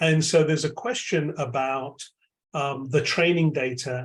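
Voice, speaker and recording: At a moderate pace, a man speaks in a somewhat breathy, fairly high voice with ordinary pitch variation. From London, England. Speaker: AI lab chair, tech executive. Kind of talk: keynote Q&A answers.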